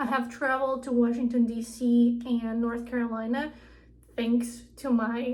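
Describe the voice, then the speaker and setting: Through audible room echo, a woman speaks high in pitch with fairly even intonation. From Ukraine. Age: 20s. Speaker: vlogger. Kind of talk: casual vlog storytelling.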